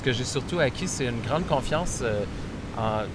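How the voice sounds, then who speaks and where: Audible room echo and noticeable background noise surround the speech. It moves at a moderate pace, and the pitch varies in an ordinary way. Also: man. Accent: Quebec. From Quebec. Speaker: writer and filmmaker. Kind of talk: interview. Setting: on location in Bali.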